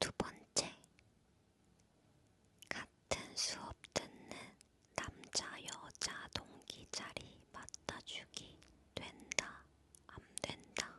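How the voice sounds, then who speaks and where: A woman whispers in a relaxed tone at a very slow pace. She leaves long, frequent pauses amid noticeable background noise. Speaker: ASMR creator. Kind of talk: talking ASMR, casual chat about balance-game questions. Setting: studio. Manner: whispered, soft-spoken, relaxed.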